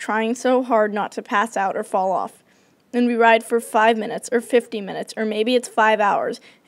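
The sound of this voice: The voice is an unforced reading voice. It reads the lines as written.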